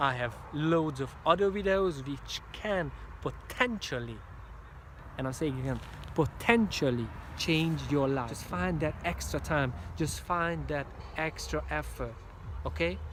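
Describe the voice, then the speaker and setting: In a Hungarian accent, the speaker goes at a fairly slow pace with long, frequent pauses. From Hungary. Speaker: motivational speaker. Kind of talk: motivational talk. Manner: animated; halting.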